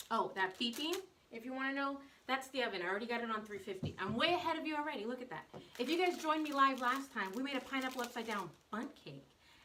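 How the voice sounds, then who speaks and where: A woman's high, raised and projected voice with an American accent, very fast in pace and lively in intonation. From US South. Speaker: baker and cake artist. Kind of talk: live baking stream. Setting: home kitchen, live on social media. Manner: casual, chatty.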